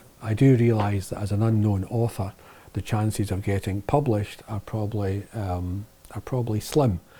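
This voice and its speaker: A somewhat breathy voice moving at a moderate pace, with a Lanarkshire accent. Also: man. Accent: Lanarkshire Scottish. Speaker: video producer and author. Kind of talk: casual vlog monologue. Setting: office shed. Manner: hesitant with fillers.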